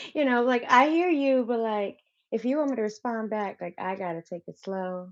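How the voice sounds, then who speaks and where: In a dry, close recording with no echo, a woman with an American accent speaks at a moderate pace with lively intonation. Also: fairly high pitch for a woman. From Wisconsin, US Midwest. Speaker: dancer and coach. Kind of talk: casual chat.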